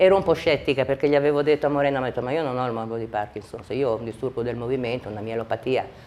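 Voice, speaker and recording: A woman is speaking. Her tone is dark and mellow. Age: 60s. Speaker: patient giving a testimonial. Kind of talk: testimony. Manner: halting.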